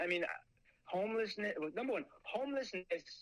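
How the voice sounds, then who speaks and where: With an American accent, a man speaks in a raised, projected voice with ordinary pitch variation. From US Northeast, Long Island, New York. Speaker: professor. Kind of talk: interview. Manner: halting.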